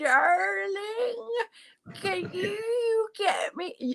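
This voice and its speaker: An extremely high-pitched, female-sounding put-on character voice comes through. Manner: very slow, drawn out.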